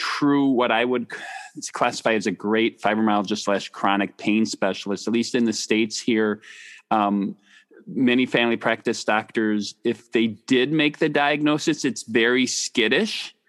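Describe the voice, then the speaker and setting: Recorded dry and close with no echo over a quiet background, a man with a slight Wisconsin accent talks at a medium pitch and moderate pace, with ordinary pitch variation and very even loudness. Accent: slight Wisconsin Midwest US. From Wisconsin, US. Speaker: doctor and podcast host. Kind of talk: interview conversation about chronic pain.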